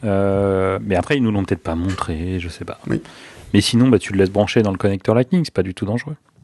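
A man's normal speaking voice, fairly low in pitch, with ordinary pitch variation, a fairly quick pace and a quiet background. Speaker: podcast co-host. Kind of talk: casual chat. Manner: joking.

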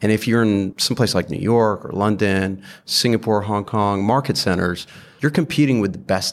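In a normal speaking voice with an American accent, a man talks at a moderate pace and a fairly low pitch with ordinary pitch variation, on a very clean recording with a silent background. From UK, Saudi Arabia and US. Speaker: investor. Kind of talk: casual interview.

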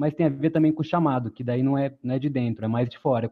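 A plain, everyday voice, this man's sits at a medium pitch with fairly even intonation. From Brazil, born in Pará, raised in several cities. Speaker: former city council candidate, economist. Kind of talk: webinar panel discussion.

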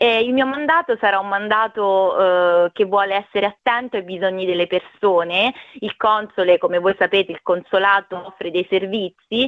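A woman talks at a moderate pace and medium pitch, with ordinary pitch variation and an ordinary speaking voice. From Italy, Marche (Ascoli Piceno province). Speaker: diplomat. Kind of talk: radio interview. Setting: phone call.

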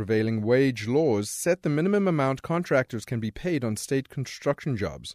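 Here a man with an unremarkable speaking voice sits at medium pitch with lively intonation. The sound is dry and close with no echo, on a very clean recording with a silent background. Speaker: radio reporter. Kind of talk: news report narration.

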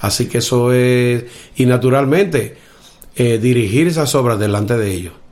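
Audible room echo surrounds a man speaking at a moderate pace, with a medium pitch and ordinary pitch variation. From Dominican Republic, Cibao valley (north). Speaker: blind musician and orchestra conductor. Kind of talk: interview.

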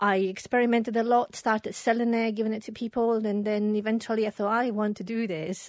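A woman speaks at a moderate pace and fairly high pitch in a plain, everyday voice. The recording is very clean, with a silent background. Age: 40s. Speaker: perfumer and small business founder. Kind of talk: casual interview.

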